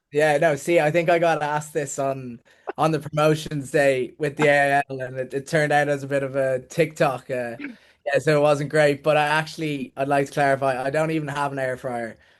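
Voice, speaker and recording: A man with a Dublin accent, fairly high-pitched and monotone, flat in intonation, at a fairly quick pace. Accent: Dublin Irish. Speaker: rugby player. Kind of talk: podcast interview.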